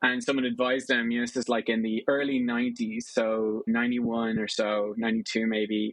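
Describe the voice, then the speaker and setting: A man with an Irish accent, medium-pitched, flat and monotone, at a fairly quick pace. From Ireland. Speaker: venture capital investor. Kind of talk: interview. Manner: casual, conversational.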